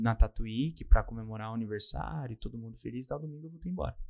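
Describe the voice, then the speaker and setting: A man is speaking here. His pace is very fast. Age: 20s. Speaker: podcaster. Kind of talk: interview.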